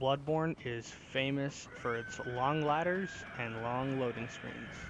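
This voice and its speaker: Through noticeable background noise, a man speaks at a very slow pace, with medium pitch and ordinary pitch variation. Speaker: gaming YouTuber. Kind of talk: gameplay tutorial commentary. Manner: casual, with filler words.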